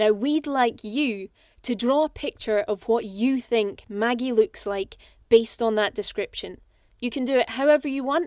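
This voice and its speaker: A voice with a Scottish accent moves at a moderate pace in a very clean recording with a silent background and a dry, close sound with no echo. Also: woman, high pitch for a woman, ordinary pitch variation. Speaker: audiobook narrator and actor. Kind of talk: contest announcement; scripted narration.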